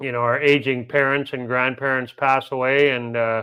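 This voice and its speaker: A man's medium-pitched, flat, monotone voice with a Canadian accent at a moderate pace. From Canada, Manitoba. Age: 50s. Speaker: travel vlogger. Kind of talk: live stream chat. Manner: casual, chatty.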